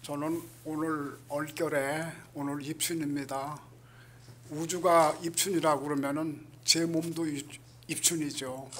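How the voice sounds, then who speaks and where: In a room with audible echo, a man with a fairly high pitch speaks at a very slow pace in a monotone, flat way. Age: 80s+. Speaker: Buddhist monk. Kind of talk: speech at event. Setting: event hall with audience.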